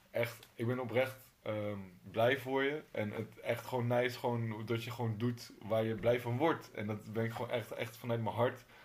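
Somewhat breathy and at a medium pitch, a man speaks in a monotone, flat intonation with hardly any pauses. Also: moderate pace. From Utrecht, Netherlands. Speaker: podcast host. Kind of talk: casual interview chat. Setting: in the guest's home.

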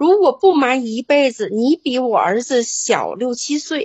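Her pitch high, a woman speaks at a fairly slow pace with very wide pitch swings. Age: 60s. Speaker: caller. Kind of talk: call-in advice chat.

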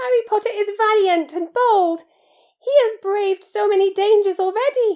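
At a moderate pace, a squeaky put-on character voice sits at an extremely high pitch. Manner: adoring, earnest.

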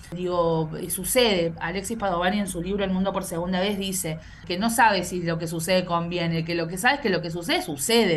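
With audible room echo, a woman speaks at a fairly quick pace in a fairly low pitch. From Argentina, Córdoba. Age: 30s. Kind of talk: interview. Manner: hesitant, frequent repetitions.

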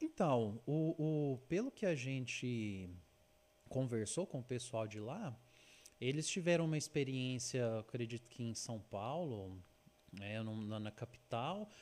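Lively intonation marks this man's medium-pitched voice, delivered at a very slow pace. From Uberlândia, Minas Gerais, Brazil. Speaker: travel and food influencer. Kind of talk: casual chat. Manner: halting.

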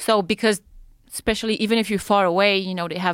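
In a French accent, a woman talks at a very fast pace with fairly even intonation, in a very clean recording with a silent background and a dry, close sound with no echo. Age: 30s. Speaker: free-diver and spear-fisher. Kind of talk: casual chat. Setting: studio.

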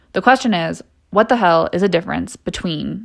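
Animated in tone, a woman speaks at a very fast pace with lively intonation. The recording is very clean, with a silent background. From California (San Diego). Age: 20s. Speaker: podcast host, dietetic intern. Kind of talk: casual solo podcast monologue.

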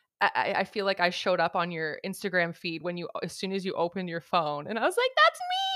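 With a Canadian accent, a woman talks very fast with hardly any pauses. Noticeable background noise is present. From Canada. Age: 30s. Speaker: podcast host. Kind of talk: casual chat. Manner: animated.

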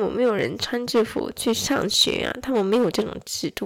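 Vocal fry runs through this voice, which moves at a moderate pace with ordinary pitch variation. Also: woman. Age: 20s. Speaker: podcaster, mother of two. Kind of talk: casual solo monologue. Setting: home recording late at night.

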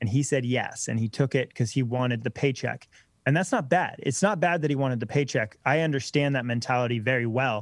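An ordinary speaking voice from a man at medium pitch comes through at a fairly quick pace with ordinary pitch variation and very even loudness, in a very clean recording with a silent background. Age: 20s. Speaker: electric bike company co-founder. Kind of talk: casual interview.

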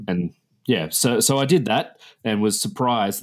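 On a very clean recording with a silent background, a man with an Australian accent talks at a moderate pace with ordinary pitch variation. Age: 30s. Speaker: history teacher. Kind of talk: casual interview. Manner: hesitant, repeats words.

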